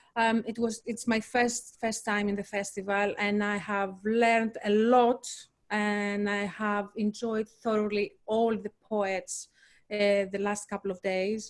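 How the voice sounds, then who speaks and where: A fairly slow, flat monotone in a Greek accent. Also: woman, medium pitch for a woman. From Greece. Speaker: poet. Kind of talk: panel discussion. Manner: halting.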